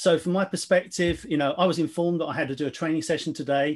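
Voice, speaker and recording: A man talks at a very fast pace. His intonation is fairly even against a quiet background. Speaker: webinar presenter. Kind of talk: webinar presentation. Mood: light, jokey, occasional laughs. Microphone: video call.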